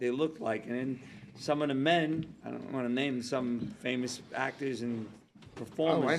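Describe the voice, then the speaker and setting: Here is a normal speaking voice at a moderate pace with ordinary pitch variation. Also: man. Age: 60s. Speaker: actor. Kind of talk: casual chat. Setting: studio.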